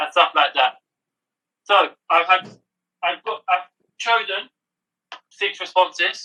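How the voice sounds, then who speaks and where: A raised, projected voice with a bright, sharp tone. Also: man. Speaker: podcast co-host. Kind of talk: casual chat.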